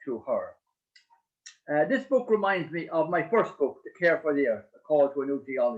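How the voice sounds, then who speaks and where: Speaking with an Irish accent, a man moves along at a fairly quick pace. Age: 70s. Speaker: priest and author. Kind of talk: book launch speech. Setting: online video event. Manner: halting, many hesitations.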